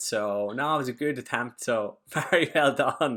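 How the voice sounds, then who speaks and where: The recording is very clean, with a silent background. An Irish accent comes through at a fairly slow pace. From Ireland. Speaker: podcast guest.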